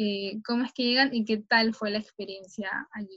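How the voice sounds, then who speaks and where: A woman talks at a moderate pace with a fairly high pitch and monotone, flat intonation. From Peru, Callao. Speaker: sports journalist. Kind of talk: interview.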